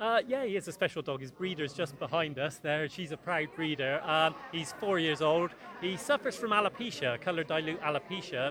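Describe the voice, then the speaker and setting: A man at a fairly high pitch and fairly quick pace, with ordinary pitch variation and noticeable background noise. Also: hardly any pauses. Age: 50s. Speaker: dog agility competitor. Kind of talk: post-event interview. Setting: event venue with crowd.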